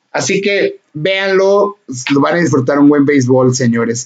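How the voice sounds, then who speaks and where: In a Mexican accent, a man speaks at a fairly slow pace with ordinary pitch variation. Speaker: podcast host. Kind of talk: casual chat.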